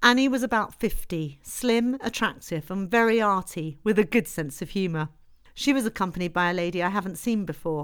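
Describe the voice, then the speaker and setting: A woman's plain, everyday voice at a medium pitch, fairly quick and lively in intonation, on a very clean recording with a silent background. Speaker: audiobook narrator. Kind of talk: literary audiobook reading. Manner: measured, steady narrator's delivery, formal in the historical prologue.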